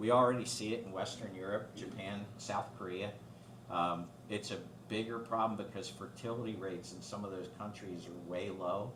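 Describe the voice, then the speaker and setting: A man's fairly low, fairly even voice with audible room echo and noticeable background noise. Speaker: guest speaker on aging and finance. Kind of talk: talk to a club with Q&A. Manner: fast.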